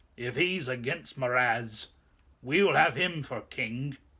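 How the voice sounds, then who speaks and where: Using a put-on character voice, a man sounds raspy at medium pitch. His delivery is fairly slow. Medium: read story. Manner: gruff, blunt.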